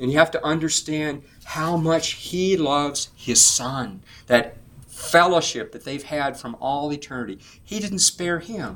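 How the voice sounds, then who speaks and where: A man with an unremarkable speaking voice talks at a fairly slow pace and fairly high pitch, with ordinary pitch variation and big swings in loudness. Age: 60s. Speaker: preacher / Bible teacher. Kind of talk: sermon; group discussion.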